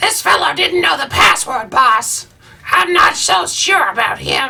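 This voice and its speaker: A put-on character voice, fairly high in pitch, menacing in tone, at a fairly slow pace. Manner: evil, menacing.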